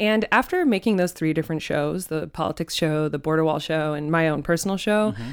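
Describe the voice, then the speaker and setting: Amid noticeable background noise, a woman with a very deep, low voice talks at a fairly quick pace with lively intonation and hardly any pauses. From Arizona, Phoenix area (Ahwatukee). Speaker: journalist and podcast host. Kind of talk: casual interview chat. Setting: studio.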